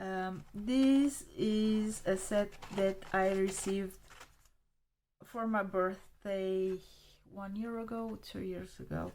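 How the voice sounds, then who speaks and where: A woman with a Romanian accent at medium pitch, very slow and fairly even in intonation, with long, frequent pauses. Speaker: art supply hobbyist video creator. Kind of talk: casual show-and-tell review. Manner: halting, with many fillers.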